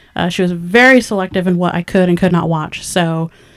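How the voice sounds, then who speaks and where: A woman with an American accent has an ordinary speaking voice at medium pitch. Her intonation is fairly even. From California Central Valley, small town. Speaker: independent filmmaker, podcast co-host. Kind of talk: casual chat.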